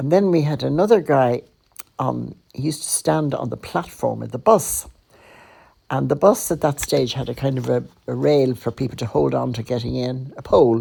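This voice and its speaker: A woman talks at a moderate pace. She has a Dublin accent. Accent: Dublin Irish. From Ireland, Dublin (the Liberties). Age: 80s+. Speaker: podcaster. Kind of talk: personal storytelling. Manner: conversational.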